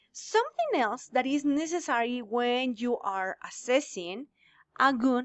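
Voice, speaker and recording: The speaker has a Spanish accent. The pace is fairly slow. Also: woman. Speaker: English teacher. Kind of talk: lecture. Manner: halting.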